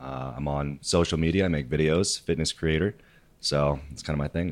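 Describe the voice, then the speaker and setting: Speaking at a moderate pace, a man uses a very deep, low pitch with ordinary pitch variation. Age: 20s. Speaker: fitness coach and content creator. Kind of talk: casual chat.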